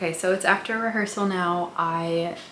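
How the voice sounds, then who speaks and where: A woman talks with fairly even intonation, and audible room echo hangs around her words. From Syrian family background. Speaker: vlogger and dancer-choreographer. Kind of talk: casual vlog talk. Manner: soft-spoken, quiet.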